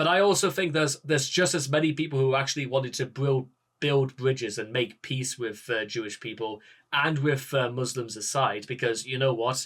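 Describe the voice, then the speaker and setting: A man with a Geordie accent, medium pitch, ordinary pitch variation and a fairly quick pace. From northern England, Newcastle. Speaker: political commentator. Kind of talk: reaction commentary. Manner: halting.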